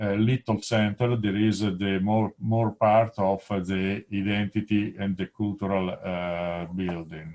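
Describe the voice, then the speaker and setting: With an Italian accent, a man speaks at a fairly low pitch. He leaves hardly any pauses and keeps his intonation fairly even. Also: fairly slow pace. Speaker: presenter at an academic webinar. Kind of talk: conference presentation. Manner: halting, many fillers.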